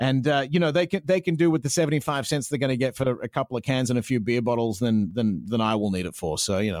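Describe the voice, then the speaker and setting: Talking very fast with hardly any pauses, a man uses lively intonation. The very clean recording has a silent background and a dry, close sound with no echo. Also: medium pitch for a man. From Australia. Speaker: radio host. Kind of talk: casual interview chat.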